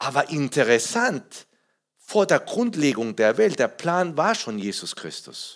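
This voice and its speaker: A fairly high man's voice with vocal fry and very wide pitch swings, at a very slow pace. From Peru. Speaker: pastor. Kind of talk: sermon. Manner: halting; animated.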